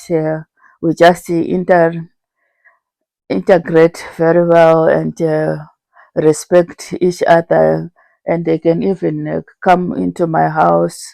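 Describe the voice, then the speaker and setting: Very slow speech with long, frequent pauses is heard in a dry, close sound with no echo. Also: woman. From Zimbabwe. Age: 60s. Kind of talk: interview answer.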